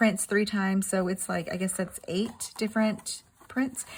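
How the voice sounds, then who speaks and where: Intonation here is fairly even. There is a somewhat breathy quality to the voice. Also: woman. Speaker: crafting YouTuber. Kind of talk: product unboxing. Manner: fast; casual, halting with fillers.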